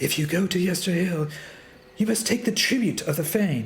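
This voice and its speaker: A put-on character voice. Light noise hums in the background. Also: man, high pitch for a man, moderate pace. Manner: ominous, warning.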